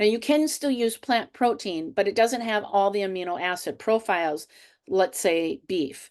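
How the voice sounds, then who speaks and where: A woman's unremarkable speaking voice at medium pitch, lively in intonation, at a moderate pace, over a quiet background. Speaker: health and fitness coach. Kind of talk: webinar presentation. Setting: online webinar.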